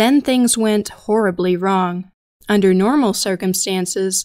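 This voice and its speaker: A woman with a plain, everyday voice speaks with ordinary pitch variation on a very clean recording with a silent background. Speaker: podcast narrator. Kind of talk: true-crime documentary narration. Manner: grave, measured and somber; steady, deliberate, matter-of-fact.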